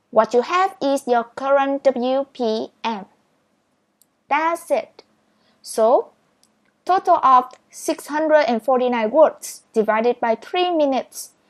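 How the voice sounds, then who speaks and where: Speaking very slowly with long, frequent pauses, a woman with a Vietnamese accent uses a high pitch and lively intonation in a dry, close sound with no echo. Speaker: speed reading teacher. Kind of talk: tutorial.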